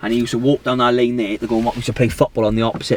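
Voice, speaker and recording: Over noticeable background noise, a man with a strong south Wales accent talks at a very fast pace and a medium pitch. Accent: strong south Wales valleys. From Wales, south Wales valleys. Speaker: business owner. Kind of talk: documentary interview. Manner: halting, many fillers and repeats.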